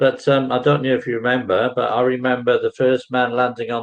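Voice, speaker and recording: A man speaks with an English accent. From England. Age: 60s. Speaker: online English tutor. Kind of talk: casual chat.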